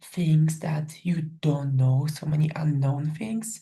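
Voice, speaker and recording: A woman with a Polish accent speaks in a very deep, low voice that is somewhat breathy. Her tone is dark and mellow, and her intonation fairly even. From Poland, small village. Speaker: professional volleyball player. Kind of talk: interview. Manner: many fillers, casual.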